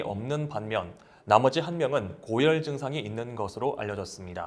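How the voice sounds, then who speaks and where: This man has an ordinary speaking voice. His intonation is lively and his pace moderate. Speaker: news announcer. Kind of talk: local TV news broadcast.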